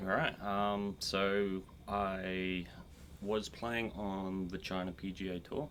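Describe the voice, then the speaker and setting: Speaking with an Australian accent, the man has a very deep, low voice. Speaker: golf instructor and former pro golfer. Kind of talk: casual chat.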